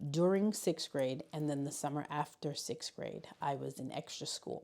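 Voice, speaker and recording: Speaking at a moderate pace, a woman has a very deep, low pitch and a dark, mellow tone. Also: ordinary pitch variation. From US Northeast, Bronx, New York City, Puerto Rican family. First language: Spanish. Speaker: high school learning specialist. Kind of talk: interview. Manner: halting.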